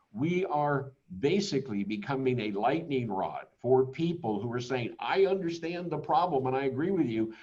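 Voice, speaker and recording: Fairly high-pitched and somewhat breathy, a man speaks at a moderate pace with a dark, mellow tone and lively intonation. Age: 70s. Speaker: company executive presenting a webinar. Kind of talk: webinar presentation. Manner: halting, with repeated words and fillers.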